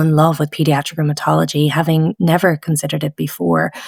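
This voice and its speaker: A woman's very deep, low voice with vocal fry and lively intonation, at a fairly quick pace, in a dry, close sound with no echo. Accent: Dublin. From Ireland (Dublin). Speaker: pediatric rheumatologist. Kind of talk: interview. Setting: podcast.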